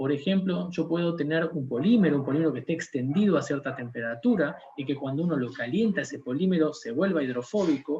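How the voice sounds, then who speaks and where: Fairly high for a man, his voice is dark, mellow and somewhat breathy, racing at a very fast pace in a strong Argentine accent. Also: lively intonation, hardly any pauses. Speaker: scientist. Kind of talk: lecture. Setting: conference talk.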